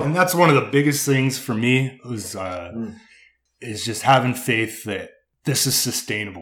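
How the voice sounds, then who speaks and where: Lively intonation from a medium-pitched male voice, with audible room echo. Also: moderate pace. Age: 30s. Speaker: landscape contractor. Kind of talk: casual interview chat.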